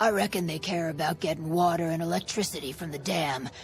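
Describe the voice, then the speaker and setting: A raspy, put-on character voice sits at a middle pitch. Clear background noise runs underneath. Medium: video game. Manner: sardonic, drawling.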